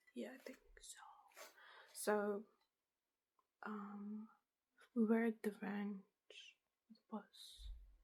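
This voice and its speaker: A soft-spoken woman's somewhat breathy voice, fairly high in pitch, relaxed in tone, with fairly even intonation. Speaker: ASMR content creator. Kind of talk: lo-fi ASMR show and tell, casual talk to camera. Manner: soft-spoken, relaxed.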